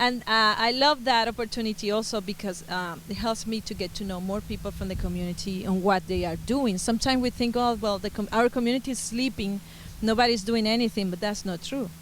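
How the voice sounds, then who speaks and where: A woman's fairly high-pitched voice with a Venezuelan accent, at a fairly quick pace with hardly any pauses and fairly even intonation. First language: Spanish. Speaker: musician and Spanish teacher. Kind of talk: interview.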